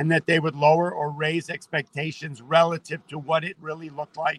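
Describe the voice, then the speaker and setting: The man has an unremarkable speaking voice, fairly high in pitch, at a moderate pace, with a dry, close sound and no echo. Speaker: market trader. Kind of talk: casual chat.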